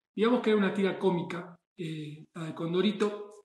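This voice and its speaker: A man speaks at a high pitch with fairly even intonation. Audible room echo surrounds his voice. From Argentina. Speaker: chef. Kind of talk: monologue. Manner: halting.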